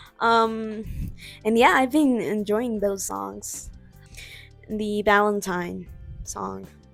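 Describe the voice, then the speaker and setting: With music in the background, a woman speaks very slowly at a fairly high pitch with ordinary pitch variation. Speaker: amateur artist. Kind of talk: casual talk to camera.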